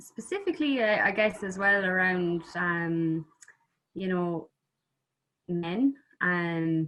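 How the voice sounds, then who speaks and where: Speaking at a very slow pace with long, frequent pauses, a woman with an Irish accent uses a medium pitch and ordinary pitch variation. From Ireland. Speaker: musician. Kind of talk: interview. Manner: halting.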